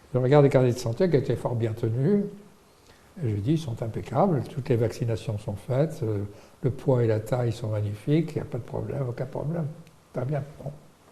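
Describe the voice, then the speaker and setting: A man talks at a fairly quick pace with big swings in loudness, a medium pitch, ordinary pitch variation, and a dark, mellow, somewhat breathy tone. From Morocco (Salé). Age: 80s+. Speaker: pediatrician and medical researcher. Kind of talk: interview. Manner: halting, many hesitations.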